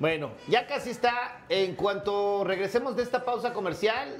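A man speaks at a moderate pace with a high pitch and ordinary pitch variation.

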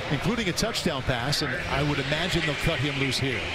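A man talks at a fairly quick pace and fairly high pitch, with ordinary pitch variation, over noticeable background noise. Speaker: play-by-play announcer. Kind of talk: live commentary. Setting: stadium broadcast booth.

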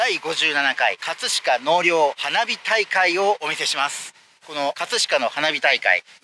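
A man speaks at a fairly slow pace with lively intonation. The sound is dry with no echo, and there is light background noise. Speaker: travel vlogger. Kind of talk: casual vlog chat. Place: waterside. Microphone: phone near.

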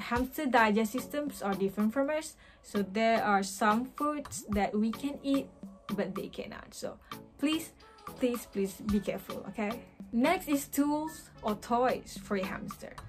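Clear music sounds in the background. Over it, a woman talks at a fairly slow pace. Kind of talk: tutorial. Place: home room. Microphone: phone near.

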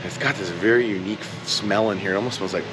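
A man speaks at a very fast pace. Noticeable background noise is present. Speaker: travel vlogger. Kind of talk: casual vlog chat. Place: shop. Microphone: phone near.

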